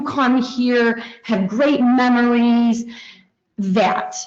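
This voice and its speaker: Audible room echo surrounds a woman with an American accent speaking at a high pitch and a very slow pace. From Heuvelton, northern New York. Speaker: resident speaking at public comment. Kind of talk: public comment at council meeting.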